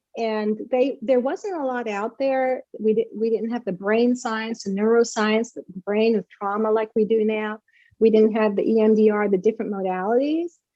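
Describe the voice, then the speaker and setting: The speaker is a woman with a fairly high pitch and an unremarkable speaking voice. She keeps a moderate pace and fairly even intonation. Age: 60s. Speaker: author. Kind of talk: interview.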